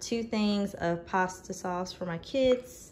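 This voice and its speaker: A woman talks at a very slow pace with ordinary pitch variation over light background noise. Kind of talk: casual vlog chat. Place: kitchen. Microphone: phone near.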